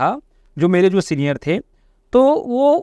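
A quiet background, and a man's voice with dry sound and no echo. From Chhattisgarh, India (Raipur area); Chhattisgarh, India. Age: 20s. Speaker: network marketing leader; podcast guest. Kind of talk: interview testimony. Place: studio. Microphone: lapel.

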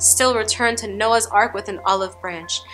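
Faint music plays behind a woman talking at a moderate pace. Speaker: poet. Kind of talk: spoken word poetry performance. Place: studio.

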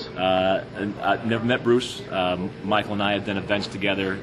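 Over loud background noise, a man with a very deep, low voice speaks at a moderate pace with ordinary pitch variation. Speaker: professional boxing and MMA ring announcer. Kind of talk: interview answer. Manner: fluent, articulate, conversational, with some filler words. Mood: relaxed, upbeat. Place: hall. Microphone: phone near.

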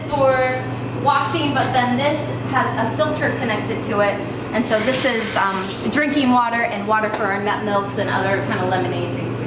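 Over loud background noise and audible room echo, a woman is speaking. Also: moderate pace. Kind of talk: casual tour commentary. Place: kitchen.

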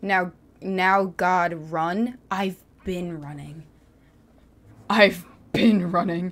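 Taking long, frequent pauses at a very slow pace, a woman of medium pitch keeps a fairly even intonation while her loudness swings widely. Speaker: gamer. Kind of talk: angry rant while gaming. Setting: livestream gameplay. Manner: frustrated, sarcastic, exasperated. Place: home room. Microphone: studio mic.

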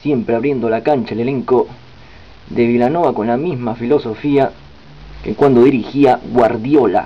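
At a moderate pace and medium pitch, a man talks with long, frequent pauses. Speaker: sports commentator. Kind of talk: live-style football commentary over match highlights. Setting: voiceover on highlights video. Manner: excited on goals.

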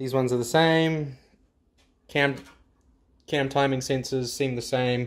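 In a New Zealand accent, the speaker goes at a fairly slow pace with long, frequent pauses, very even loudness and a monotone, flat intonation. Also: man, medium pitch for a man. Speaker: car mechanic YouTuber. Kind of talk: tutorial. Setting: garage workshop. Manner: casual. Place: garage. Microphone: phone near.

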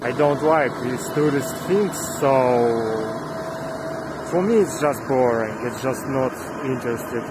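A man talks at a very slow pace. The sound is dry with no echo, but the background noise is loud. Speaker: travel vlogger. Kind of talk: casual vlog chat. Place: street. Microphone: phone near.

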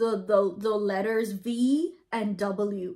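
A woman's dark, mellow, upbeat voice with a Bahamian accent. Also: quiet background. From Bahamas. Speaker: vlogger explaining her dialect. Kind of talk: casual talk to camera. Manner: upbeat, chatty. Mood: relaxed, amused. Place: home room. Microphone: phone near.

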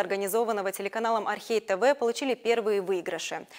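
A woman speaks at a fairly quick pace and a fairly high pitch against a quiet background. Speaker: news anchor. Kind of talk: news reading. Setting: studio. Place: studio. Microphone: lapel.

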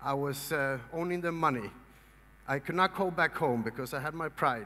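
With a Swedish accent, a man of fairly high pitch and bright, sharp tone speaks at a moderate pace, using ordinary pitch variation and long, frequent pauses. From Sweden. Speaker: motivational speaker. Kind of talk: seminar talk. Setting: stage with audience. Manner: animated. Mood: earnest storytelling. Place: hall.

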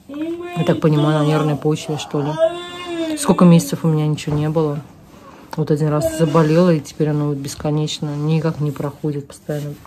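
A woman speaks at a moderate pace while noticeable background noise sits behind her. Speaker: vlogger. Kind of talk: casual vlog chat. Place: home room. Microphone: phone near.

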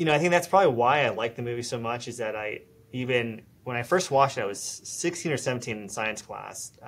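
A man speaks fairly quickly, and his pitch varies in an ordinary way. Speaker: interview guest. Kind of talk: interview answer. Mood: relaxed, friendly.

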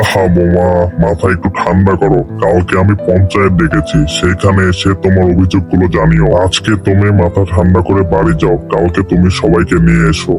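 Loud music plays behind a man doing a cartoonish character voice. His pitch is very deep and low. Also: moderate pace. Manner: calm, commanding.

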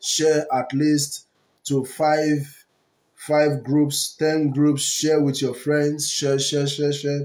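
The man's intonation is monotone and flat. He speaks at a very slow pace. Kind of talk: prayer broadcast exhortation. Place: home room. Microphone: earbuds.

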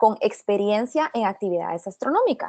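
With a dry, close sound and no echo, a woman speaks at a moderate pace in a fairly high, dark, mellow voice with ordinary pitch variation. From Guatemala. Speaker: astrophysics PhD student. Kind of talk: webinar presentation.

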